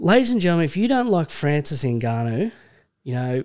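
With an Australian accent, a man with a fairly high pitch talks at a fairly quick pace, his pitch swinging very widely. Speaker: podcast host. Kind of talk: casual banter. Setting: studio. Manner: casual, jokey.

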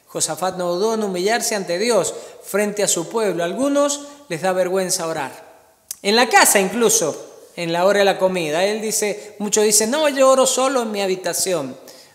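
A warm-toned voice with a Cuyo Argentine accent at a moderate pace, over noticeable background noise. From Argentina. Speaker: pastor. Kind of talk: sermon. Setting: church service streamed during pandemic. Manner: earnest, warm pastoral tone, teaching and exhorting.

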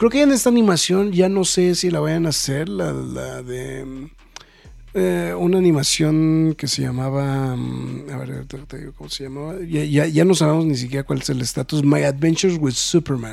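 Man speaking at a moderate pace, big swings in loudness, noticeable background noise. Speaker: podcast host. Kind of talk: casual chat.

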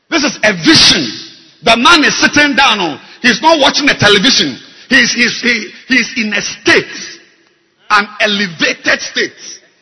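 A man talks at a fairly slow pace with long, frequent pauses. His intonation is lively. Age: 50s. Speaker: bishop preacher. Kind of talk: sermon. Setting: church. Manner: animated.

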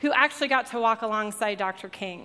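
A woman speaks in an American accent with a high pitch and bright, sharp tone. Her pitch variation is ordinary, and the recording is very clean with a silent background. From Colorado. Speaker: church staff member preaching. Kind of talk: sermon. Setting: church with live audience.

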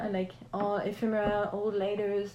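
A woman with a French accent speaks at a fairly high pitch amid noticeable background noise and audible room echo. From France, Alsace near German border. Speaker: painter and collage artist. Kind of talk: interview.

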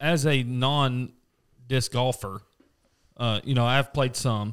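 Speaking at a fairly slow pace with a Southern US accent, a man holds a medium pitch and ordinary pitch variation. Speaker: podcast co-host, golfer. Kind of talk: casual chat. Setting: studio.

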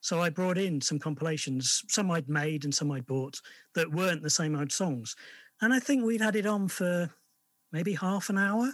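In an English accent, a man with a high pitch speaks with lively intonation and very even loudness. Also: moderate pace. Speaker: indie record label collaborator. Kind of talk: interview. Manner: hesitant, many fillers.

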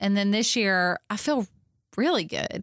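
A woman with a Kentucky accent speaks at a fairly slow pace with a medium-pitched voice and ordinary pitch variation, in a dry, close sound with no echo on a very clean recording with a silent background. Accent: Southern US (Kentucky). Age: 40s. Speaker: farm venue owner and women's conference organizer, former teacher. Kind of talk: interview conversation. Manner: animated.

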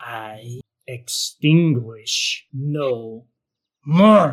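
A man's put-on character voice at medium pitch. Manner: eerie, slow, ominous.

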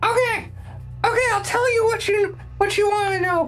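A put-on character voice with extremely high pitch moves at a moderate pace over clear background noise. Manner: frightened, confessing under threat.

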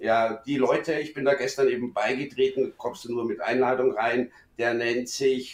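The man's medium-pitched voice unfolds at a very slow pace. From Munich, Bavaria. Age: middle-aged. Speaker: friend of the host. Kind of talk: casual chat.

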